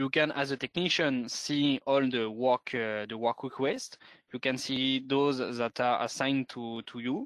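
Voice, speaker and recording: In a French accent, a man talks at a fairly slow pace and a medium pitch with fairly even intonation, recorded dry and close with no echo. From France. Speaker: sales manager. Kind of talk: webinar presentation. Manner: halting.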